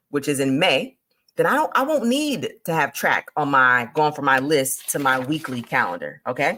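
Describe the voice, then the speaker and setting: With a very deep, low pitch, a woman speaks in an animated tone and lively intonation. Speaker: direct sales consultant and business coach. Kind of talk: live stream business training. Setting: livestream with screen share. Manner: fast.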